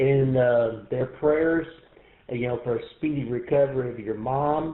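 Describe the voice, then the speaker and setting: Using a fairly high pitch and a Texan accent, a man talks at a fairly slow pace with fairly even intonation. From East Texas. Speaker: amateur radio operator. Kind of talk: radio net check-in. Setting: radio shack, radio net.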